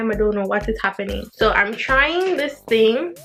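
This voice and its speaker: This woman has a Jamaican accent and a fairly high pitch, talking at a fairly slow pace. Her pitch varies in an ordinary way, with noticeable background noise behind her. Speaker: beauty vlogger. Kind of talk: casual talk to camera.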